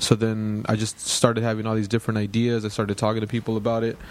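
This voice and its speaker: Over noticeable background noise, a man with an American accent and fairly low pitch talks at a very fast pace in a monotone, flat intonation. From Los Angeles (Lennox). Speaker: writer and documentary filmmaker. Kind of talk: interview.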